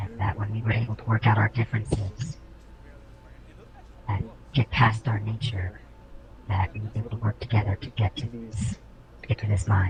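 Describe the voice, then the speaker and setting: Using a put-on character voice, a man with a fairly low pitch talks at a moderate pace with long, frequent pauses against clear background noise. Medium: actual play. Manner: terse, formal, proud.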